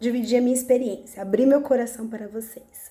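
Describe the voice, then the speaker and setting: A woman's voice over noticeable background noise. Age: 30s. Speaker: vlogger. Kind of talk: personal testimony vlog. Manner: halting, with false starts.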